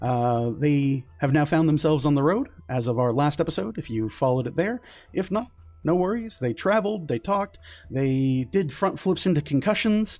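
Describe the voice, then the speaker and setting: With music in the background, a man talks at a moderate pace in a fairly high pitch, his voice making very wide pitch swings. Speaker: game master. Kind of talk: role-playing game narration. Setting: online video call stream. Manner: hesitant, many fillers.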